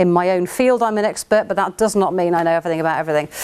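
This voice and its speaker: This woman has an English accent. Lively intonation runs through her speech. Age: 40s. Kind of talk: workshop talk. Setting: venue with projector and audience. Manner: fast.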